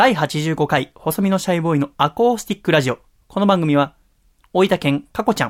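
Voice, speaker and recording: This man speaks at a high pitch with lively intonation and a fairly quick pace. The recording is very clean with a silent background and a dry, close sound with no echo. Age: 20s. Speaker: podcast host and musician. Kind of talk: casual chat. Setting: home recording.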